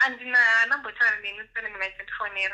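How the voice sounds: A bright, sharp tone at a very fast pace with fairly even intonation. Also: woman, fairly high pitch for a woman.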